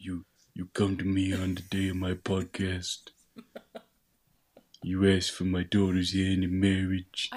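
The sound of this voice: A put-on character voice from a man in an Italian accent, very deep and low, monotone and flat, fairly slow, with long, frequent pauses. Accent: Italian, mafia style.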